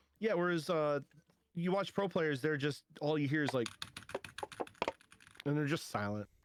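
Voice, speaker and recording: A man with a fairly high voice talks at a moderate pace with ordinary pitch variation. His loudness stays very even, and he takes long, frequent pauses. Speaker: streamer, podcast guest. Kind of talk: casual podcast chat.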